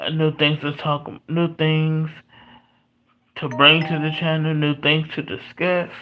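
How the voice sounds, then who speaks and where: A quiet voice moves at a fairly slow pace in a very clean recording with a silent background. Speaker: sports commentator. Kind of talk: livestream monologue. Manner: halting.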